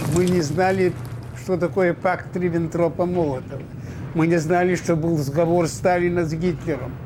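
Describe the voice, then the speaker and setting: Noticeable background noise sits behind a man speaking at a moderate pace in a high pitch, with fairly even intonation and very even loudness. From Belarus. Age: 80s+. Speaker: war veteran. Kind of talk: interview testimony.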